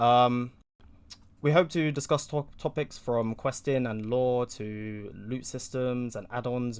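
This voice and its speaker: Ordinary pitch variation marks this man's delivery. He speaks at medium pitch in a British accent. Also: very clean recording, silent background. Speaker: podcast host. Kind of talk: casual podcast intro. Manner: hesitant, many fillers.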